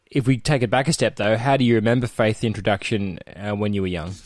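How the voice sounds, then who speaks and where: The intonation stays fairly even, in an Australian accent. The recording is very clean, with a silent background. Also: man. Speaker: podcast host. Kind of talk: interview.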